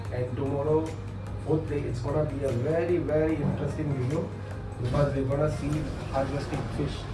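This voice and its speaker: Clear music plays in the background. A man talks at a moderate pace with ordinary pitch variation. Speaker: travel vlogger. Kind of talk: casual vlog chat.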